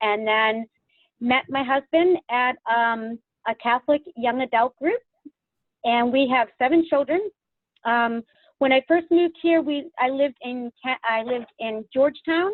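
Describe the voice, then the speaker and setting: In a Boston accent, a woman speaks with a high pitch and ordinary pitch variation. Her pace is fairly slow, broken by long, frequent pauses. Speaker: real estate agent. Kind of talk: video call panel discussion. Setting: video call.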